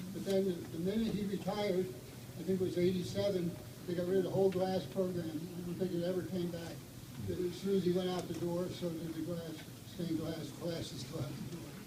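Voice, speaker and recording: A man with a high pitch speaks with monotone, flat intonation. Noticeable background noise and audible room echo fill the recording. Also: fairly quick pace. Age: 80s+. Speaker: retired math teacher and amateur artist. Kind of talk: memorial tribute speech. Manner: halting.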